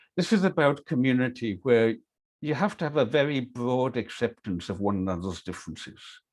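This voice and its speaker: A man speaks with a Hebridean accent and lively intonation. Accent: Scottish Hebridean. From Scotland, Isle of Lewis, Outer Hebrides. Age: 60s. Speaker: workshop leader. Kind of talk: online workshop talk.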